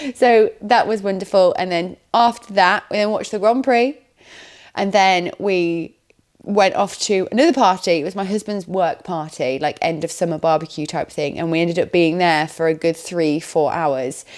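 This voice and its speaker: At a moderate pace, a woman with an English accent talks at a medium pitch with ordinary pitch variation. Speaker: vlogger. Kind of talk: casual vlog chat. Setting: at home on the sofa.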